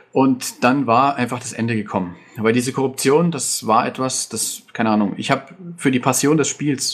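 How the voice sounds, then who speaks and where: A man at medium pitch and a fairly quick pace, with ordinary pitch variation and noticeable background noise. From Bavaria, Germany. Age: 20s. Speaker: game server moderator and IT project manager. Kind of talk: podcast interview.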